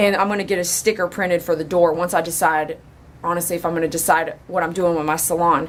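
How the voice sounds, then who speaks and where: Noticeable background noise surrounds a woman. She talks at a very fast pace in an animated tone. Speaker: dog groomer. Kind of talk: casual vlog talk.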